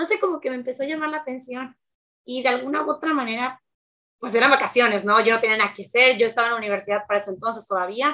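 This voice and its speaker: A woman with a high voice talks at a very fast pace, her tone bright and sharp and her pitch varying in an ordinary way. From Mexico, Veracruz. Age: 20s. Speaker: streamer and youtuber. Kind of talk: casual interview.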